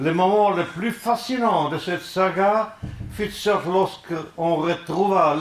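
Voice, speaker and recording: Talking at a very slow pace, a man with a non-native accent has a high pitch and ordinary pitch variation. Audible room echo and noticeable background noise fill the recording. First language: not French (speaking French). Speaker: musicologist, lecturer. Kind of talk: lecture. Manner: halting.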